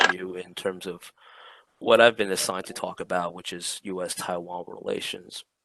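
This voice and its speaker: A soft-spoken man with a very deep, low pitch and fairly even intonation. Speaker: Taiwan policy expert, panelist. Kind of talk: online lecture.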